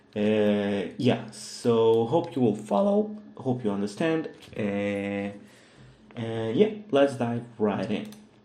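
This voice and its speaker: Speaking at a very slow pace, a man is heard with audible room echo around him. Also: medium pitch for a man, ordinary pitch variation. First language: Russian. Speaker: 3D modeling tutor. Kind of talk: tutorial. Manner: hesitant, many fillers.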